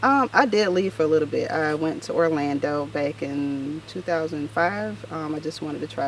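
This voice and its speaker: With a very deep, low pitch and lively intonation, a woman talks at a fairly quick pace over noticeable background noise. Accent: American. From US South, north Florida small town. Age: 30s. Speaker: makeup artist. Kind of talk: casual interview.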